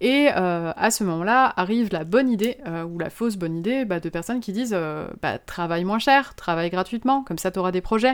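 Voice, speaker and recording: In a very clean recording with a silent background, a woman with an ordinary speaking voice speaks at medium pitch, a fairly quick pace, and with lively intonation. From Moselle, eastern France. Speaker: illustrator and motion designer. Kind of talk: interview.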